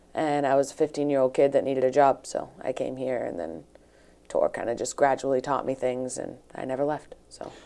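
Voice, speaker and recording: A woman speaks in a southeastern New England accent. Her pitch is very deep and low, with a dark, mellow tone. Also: ordinary pitch variation, fairly quick pace. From New Bedford, Massachusetts. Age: 20s. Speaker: fishnet maker. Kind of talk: interview. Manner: halting.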